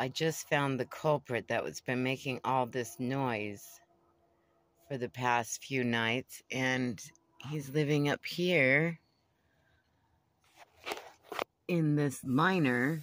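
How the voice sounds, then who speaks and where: Very slow speech full of long, frequent pauses, in a dry recording with no echo. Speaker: van dweller vlogger. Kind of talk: casual vlog chat. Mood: wry, mildly worried. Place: home room. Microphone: phone near.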